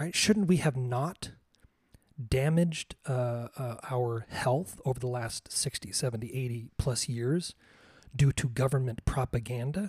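On a very clean recording with a silent background and a dry, close sound with no echo, a man speaks slowly-ish at a fairly slow pace, somewhat breathy, medium in pitch, with ordinary pitch variation. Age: 40s. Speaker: podcast host. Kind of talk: solo monologue. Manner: halting.

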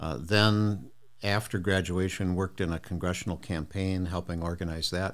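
A man with an American accent, very deep and low in pitch, with fairly even intonation at a moderate pace. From US Midwest. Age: 70s. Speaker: retired college professor and author. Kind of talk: casual interview chat.

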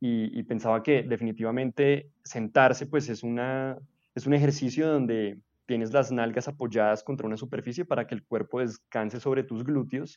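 This man has a plain, everyday voice, speaking at a medium pitch and a moderate pace with fairly even intonation. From Colombia, Bogotá. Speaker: podcast host. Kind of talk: casual chat.

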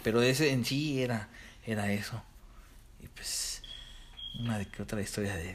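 Using a Mexican accent, a man talks at a moderate pace and medium pitch, somewhat breathy, with ordinary pitch variation and long, frequent pauses. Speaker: podcast co-host. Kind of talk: casual chat.

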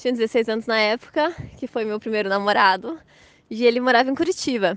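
The sound is dry and close with no echo as a woman speaks at a high pitch. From Blumenau, Santa Catarina, southern Brazil. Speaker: mother and Waldorf education graduate. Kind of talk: casual interview chat.

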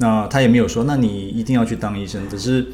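With noticeable background noise and audible room echo, a man speaks. His voice is fairly low, and his pace is fairly quick. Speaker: liver surgeon. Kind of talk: interview.

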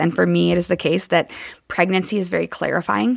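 In a very clean recording with a silent background, a woman speaks at a fairly quick pace. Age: 30s. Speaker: podcast host and coach. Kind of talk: solo podcast monologue. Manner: conversational, with frequent fillers.

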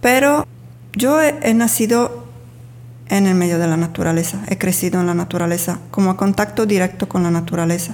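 Pitch swings very widely in this woman's fairly low voice, while her loudness stays very even. She talks at a fairly quick pace over noticeable background noise. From Sardinia, Italy. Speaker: spiritual healer and workshop teacher. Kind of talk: casual interview.

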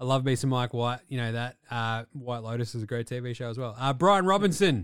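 In an Australian accent, a man speaks at medium pitch and a moderate pace with lively intonation. The recording is very clean, with a silent background. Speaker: sports podcast co-host. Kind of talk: casual chat. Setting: studio. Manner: animated.

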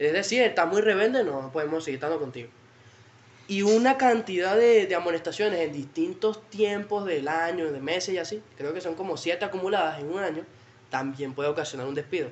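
A man talks fairly quickly in a Venezuelan accent. His pitch is high and his intonation lively. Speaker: podcast guest. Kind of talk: casual chat.

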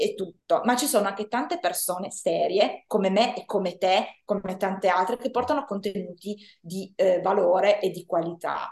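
With a plain, everyday voice, this woman talks at a moderate pace and a medium pitch. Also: ordinary pitch variation. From Italy, Turin. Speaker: Italian language teacher. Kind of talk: interview.

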